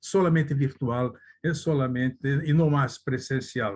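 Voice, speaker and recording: The voice is somewhat breathy, in a Brazilian accent, with fairly even intonation at a fairly slow pace. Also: man. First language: Portuguese (speaking Spanish). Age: 80s+. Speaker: lawyer. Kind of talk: conference talk. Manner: halting, with self-corrections.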